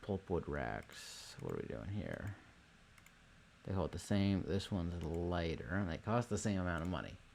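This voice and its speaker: In a very clean recording with a silent background, a man speaks at a moderate pace with a very deep, low pitch, vocal fry and lively intonation. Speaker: gaming video creator. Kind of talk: gameplay commentary.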